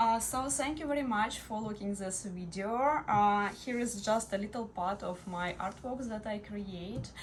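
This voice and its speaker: With audible room echo, a woman's somewhat breathy, medium-pitched voice moves at a fairly slow pace with ordinary pitch variation. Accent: Russian. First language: Russian. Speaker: crystal artist. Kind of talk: product showcase. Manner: halting, many fillers.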